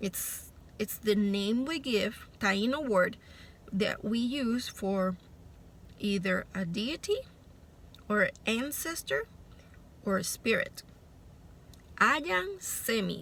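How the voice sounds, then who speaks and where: With a Puerto Rican accent and a fairly high pitch, a woman speaks at a very slow pace with lively intonation and long, frequent pauses. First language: Spanish. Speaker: spiritual vlogger. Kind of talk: casual monologue vlog. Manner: hesitant, with fillers.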